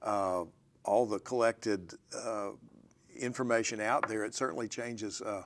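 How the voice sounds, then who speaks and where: The speaker keeps a fairly even intonation at a moderate pace. Long pauses come often. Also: man, fairly low pitch for a man. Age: 60s. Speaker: professor. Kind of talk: casual interview conversation. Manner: halting, many fillers.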